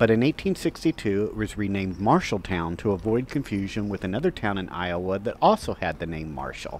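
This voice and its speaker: Over light background noise, a man with a normal speaking voice talks at a moderate pace in a fairly low pitch with lively intonation, the sound dry with no echo. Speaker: walking tour host. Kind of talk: travel commentary. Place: street.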